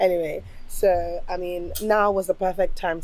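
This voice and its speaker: A woman talks in a monotone, flat intonation with a dark, mellow tone. The sound is dry, with no echo. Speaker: family vlogger. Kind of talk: casual vlog chat. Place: garden. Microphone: phone near.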